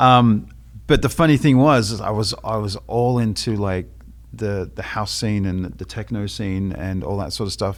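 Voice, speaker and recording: Lively in intonation, a man with an Australian accent talks at a fairly slow pace and a fairly low pitch. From Australia, Melbourne. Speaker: photographer and former DJ. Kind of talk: casual podcast chat.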